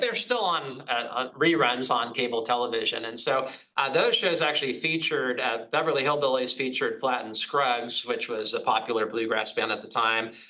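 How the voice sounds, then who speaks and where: Amid noticeable background noise and audible room echo, a man with a medium pitch speaks at a fairly quick pace. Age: 50s. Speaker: professor. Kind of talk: lecture. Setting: hybrid online seminar. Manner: halting.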